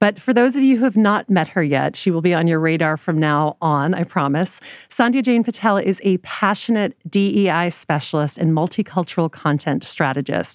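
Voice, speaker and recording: A woman with an American accent talks at a moderate pace with fairly low pitch, lively intonation, very even loudness and hardly any pauses, in a dry, close sound with no echo on a very clean recording with a silent background. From Louisiana, US South. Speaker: podcast host. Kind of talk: interview.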